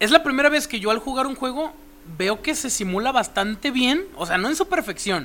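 Raising and projecting his voice, a man speaks fairly quickly at an extremely high pitch that swings very widely. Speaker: podcast co-host. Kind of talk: casual chat.

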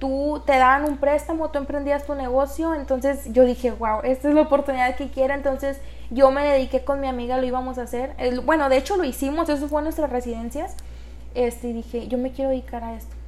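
This woman speaks at a fairly quick pace in a high voice. Her intonation is monotone and flat. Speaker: business engineer and entrepreneur. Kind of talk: interview.

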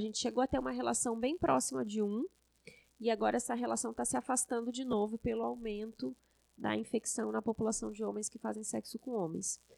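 A woman at a fairly quick pace, in a dry, close sound with no echo, on a very clean recording with a silent background. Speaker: infectious disease doctor and professor. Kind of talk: podcast interview.

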